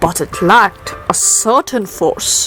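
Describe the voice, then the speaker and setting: The pace is very slow as a woman talks. Behind her, music is playing. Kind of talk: poetry reading.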